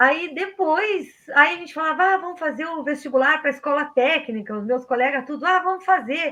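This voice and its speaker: A woman projects her high, bright, sharp voice at a moderate pace with hardly any pauses, big swings in loudness and ordinary pitch variation. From southern Brazil, rural Pelotas area. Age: 50s. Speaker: technical school teacher. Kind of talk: casual interview.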